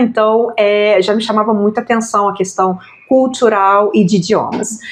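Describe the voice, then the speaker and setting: Speaking at a moderate pace, a woman with a normal speaking voice keeps a fairly high pitch and fairly even intonation. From Brazil. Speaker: language school owner, journalist. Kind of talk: interview conversation.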